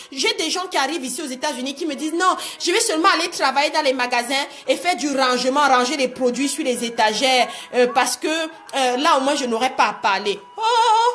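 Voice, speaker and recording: A woman speaks at a fairly quick pace with lively intonation and a high pitch, with music playing in the background. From Cameroon. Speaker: life coach. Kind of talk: live-streamed motivational talk. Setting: live video stream. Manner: animated.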